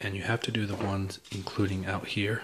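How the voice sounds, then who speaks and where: The voice is quiet, with a bright, sharp tone. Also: man. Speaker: parent doing a product how-to. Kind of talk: casual tutorial. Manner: quiet, keeping voice down; hesitant, many fillers.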